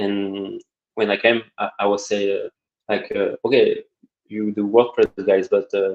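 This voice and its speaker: A man with a French accent talks at a fairly slow pace, the sound dry and close with no echo. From France. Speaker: web designer and developer. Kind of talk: interview. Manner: halting.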